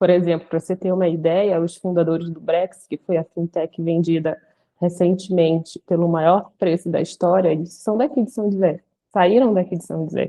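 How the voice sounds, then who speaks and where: A woman speaks in a Pará accent at a fairly low pitch. Her pace is moderate and her intonation fairly even. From Brazil, Belém do Pará. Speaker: lawyer. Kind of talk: casual chat.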